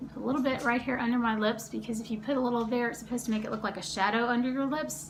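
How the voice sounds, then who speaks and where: Speaking at a fairly high pitch with fairly even intonation, a woman is heard through noticeable background noise and audible room echo. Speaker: beauty vlogger. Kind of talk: makeup tutorial. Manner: fast; casual chatty.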